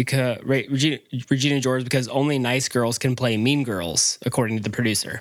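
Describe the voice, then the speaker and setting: The speaker has an American accent and talks at a very fast pace. Loudness stays very even, and intonation is fairly even. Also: man, medium pitch for a man. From North Carolina, Charlotte. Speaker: podcast guest. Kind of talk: casual chat.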